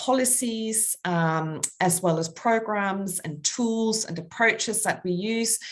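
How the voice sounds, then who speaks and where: Against a quiet background, someone speaks very slowly in a Danish accent. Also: woman. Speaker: international public health official. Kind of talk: webinar presentation. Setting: webinar. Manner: hesitant, many fillers.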